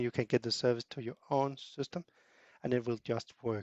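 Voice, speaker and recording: Very fast speech comes from a man with a medium pitch. His intonation is monotone and flat. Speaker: software developer. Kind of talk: tutorial. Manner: halting, many fillers and repetitions.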